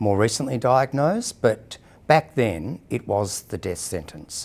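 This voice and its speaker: On a very clean recording with a silent background, a man with an Australian accent speaks fairly slowly at medium pitch with lively intonation. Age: 60s. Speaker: person living with HIV sharing experience. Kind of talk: personal testimony interview. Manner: hesitant, with frequent fillers.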